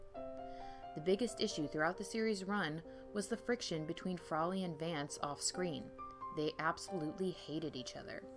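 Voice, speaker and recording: Music plays behind a voice that keeps a moderate pace. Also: woman. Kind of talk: ASMR history narration.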